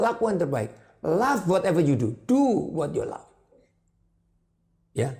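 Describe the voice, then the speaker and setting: Pitched high, a man's animated voice moves at a moderate pace with very wide pitch swings. He pauses often, and the pauses are long. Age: 70s. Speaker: advertising business owner. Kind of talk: interview.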